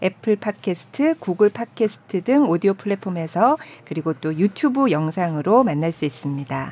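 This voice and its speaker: A woman talks in a plain, everyday voice at medium pitch. Her intonation is lively. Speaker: announcer co-hosting an arts podcast. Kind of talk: casual arts talk show chat. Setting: studio. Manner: warm, reactive.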